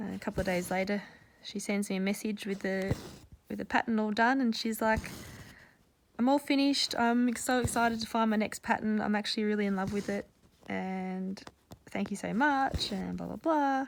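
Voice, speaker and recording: Fairly high in pitch with ordinary variation, a woman speaks at a fairly quick pace with an Australian accent. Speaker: cross-stitch vlogger. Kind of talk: casual chat. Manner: rambling, casual with many fillers.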